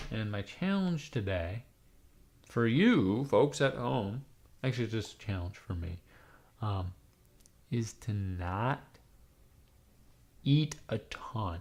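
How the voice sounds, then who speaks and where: A man speaks at a very slow pace, somewhat breathy, with long, frequent pauses. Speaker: livestreamer. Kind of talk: casual chat. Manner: rambling, halting with many ums.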